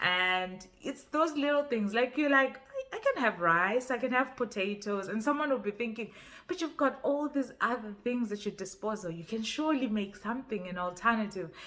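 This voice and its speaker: With a Zimbabwean accent, a woman speaks at a moderate pace with hardly any pauses. Her fairly high voice has lively intonation and a bright, sharp tone. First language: Ndebele. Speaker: YouTuber. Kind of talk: casual vlog talk. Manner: halting, with repetitions.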